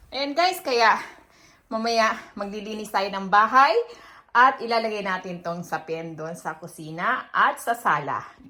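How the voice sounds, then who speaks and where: Bright and sharp in tone, a woman speaks at medium pitch with lively intonation. Her pace is fairly slow. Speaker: vlogger. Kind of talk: casual vlog. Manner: halting. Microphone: no external mic, quiet.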